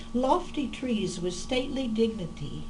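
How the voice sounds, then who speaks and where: With an American accent and lively intonation, the speaker talks at a very slow pace amid noticeable background noise and audible room echo. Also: woman. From Oklahoma, US. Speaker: poet. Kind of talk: casual personal introduction; poetry reading. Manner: hesitant with fillers.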